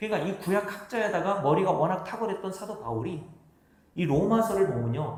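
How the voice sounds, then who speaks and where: Audible room echo surrounds a man speaking at a fairly quick pace. His pitch is high and swings very widely. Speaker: pastor. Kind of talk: sermon. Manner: fast.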